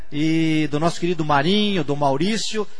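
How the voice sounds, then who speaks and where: A man talks at a moderate pace with ordinary pitch variation. There's audible room echo and noticeable background noise. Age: old. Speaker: radio host. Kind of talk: radio interview.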